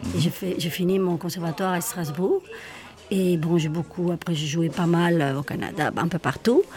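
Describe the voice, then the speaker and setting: Noticeable background noise sits behind a woman's fairly low-pitched voice. Her intonation is fairly even. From Spain, Madrid. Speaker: singer, actress and theatre school director. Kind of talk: interview.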